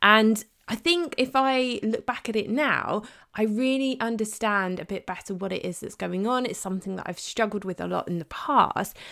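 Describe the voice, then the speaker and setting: A woman speaks with a British accent at a moderate pace, her fairly high pitch showing ordinary variation. Her tone is bright and sharp in a very clean recording with a silent background. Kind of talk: solo podcast monologue.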